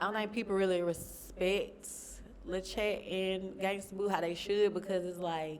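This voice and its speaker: Over noticeable background noise and audible room echo, a woman speaks at a moderate pace and medium pitch with flat, monotone intonation. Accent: Southern US. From Alabama, Alexander City. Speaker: rapper. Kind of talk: interview.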